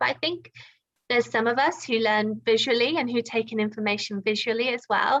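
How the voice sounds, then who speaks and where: A woman with a British accent talks at a fairly quick pace in a high voice. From UK. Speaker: video editor and online teacher. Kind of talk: casual chat.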